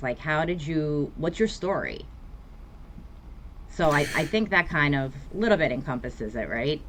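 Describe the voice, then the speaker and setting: A woman speaks in a New York accent at a moderate pace. Her pitch is very deep and low. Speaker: therapist. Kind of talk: podcast interview.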